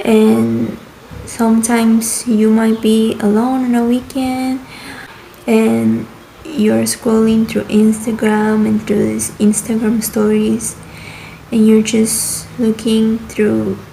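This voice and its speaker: Noticeable background noise sits behind a woman who speaks very slowly at a very even loudness. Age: 20s. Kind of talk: casual talk to camera. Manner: rambling.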